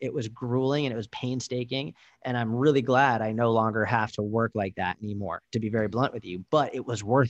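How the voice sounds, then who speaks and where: A man with a plain, everyday voice talks at a fairly quick pace with hardly any pauses, medium pitch and fairly even intonation, the sound dry and close with no echo against a quiet background. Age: 20s. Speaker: motivational speaker and coach. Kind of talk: casual interview.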